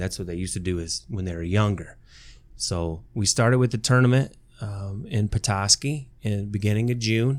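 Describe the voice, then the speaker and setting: A man with an Upper Midwest accent talks at a moderate pace, his pitch fairly low with ordinary variation. The recording is very clean, with a silent background. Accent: Upper Midwest American (Michigan). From southern Michigan, Lenawee County. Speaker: high school soccer coach and math teacher. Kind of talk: casual interview chat.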